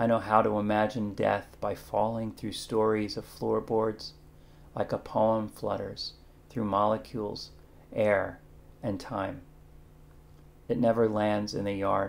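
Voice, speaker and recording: A quiet, fairly low-pitched man at a fairly slow pace, in monotone, flat intonation with long, frequent pauses. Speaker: poet. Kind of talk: poetry reading. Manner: measured, hushed, contemplative; formal, warm. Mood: warm, animated, smiling. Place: kitchen. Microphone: webcam.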